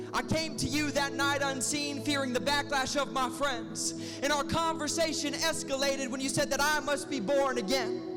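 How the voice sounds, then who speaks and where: At a moderate pace, a man speaks while music runs in the background. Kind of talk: spoken word poetry performance. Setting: live performance.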